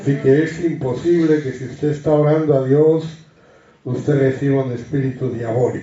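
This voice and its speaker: A somewhat breathy man at a fairly high pitch, moderate pace and fairly even intonation, with audible room echo. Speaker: Bible study teacher. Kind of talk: Bible study teaching.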